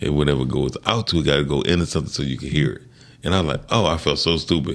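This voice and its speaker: This man's voice is very deep and low, with vocal fry and ordinary pitch variation. He sounds animated and talks very fast. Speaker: sound engineer and music producer. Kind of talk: interview. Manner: animated storytelling.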